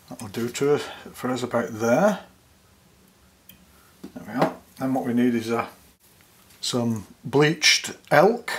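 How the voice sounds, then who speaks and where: Over noticeable background noise, a man with a medium pitch speaks at a fairly slow pace, with ordinary pitch variation, big swings in loudness and long, frequent pauses. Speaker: fly tyer. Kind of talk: fly tying tutorial narration. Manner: calm, soft-spoken. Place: studio.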